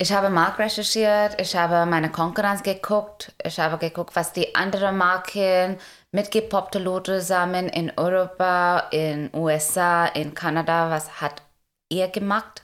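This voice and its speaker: Speaking at medium pitch and a fairly slow pace, a woman keeps fairly even intonation and very even loudness. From India. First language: Indian language, German learned as adult (speaking German). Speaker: food startup founder. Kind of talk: interview. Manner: halting, many fillers.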